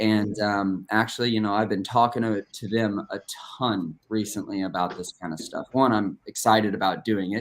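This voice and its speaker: Moderate pacing and a fairly low pitch from a man with an unremarkable speaking voice. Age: 30s. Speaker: swim coach and motivational speaker. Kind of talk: motivational talk. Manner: casual, with many fillers.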